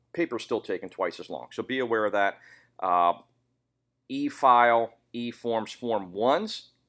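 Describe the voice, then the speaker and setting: In a very clean recording with a silent background, a man at medium pitch talks at a fairly slow pace with ordinary pitch variation and long, frequent pauses. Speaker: gun shop owner and podcast co-host. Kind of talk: casual chat.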